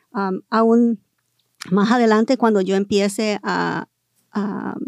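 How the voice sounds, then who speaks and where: Monotone, flat intonation from a woman at medium pitch, in a very clean recording with a silent background and a dry, close sound with no echo. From Southern California (Los Angeles area). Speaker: educator and school board candidate. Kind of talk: interview. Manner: halting, many fillers.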